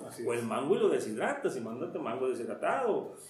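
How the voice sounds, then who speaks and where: A man talks at a fairly quick pace. Music plays in the background and room echo is audible. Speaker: foreign trade expert and businessman. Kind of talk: interview.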